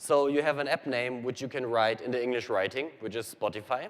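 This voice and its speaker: A man with a German accent talks at a medium pitch with ordinary variation in his pitch. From Germany. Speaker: software engineer presenting to developers. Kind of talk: technical presentation. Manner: fast.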